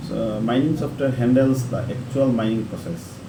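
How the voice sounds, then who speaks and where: A man speaks at a moderate pace and medium pitch amid noticeable background noise and audible room echo. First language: not English. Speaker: online tutorial creator. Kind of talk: tutorial. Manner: halting, with self-corrections.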